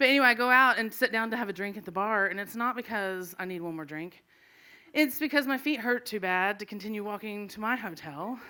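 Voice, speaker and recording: A woman speaks at a fairly quick pace with a fairly high pitch, lively intonation, a bright, sharp tone, and big swings in loudness. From Arkansas. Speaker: comedian. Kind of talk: stand-up storytelling. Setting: stage with live audience.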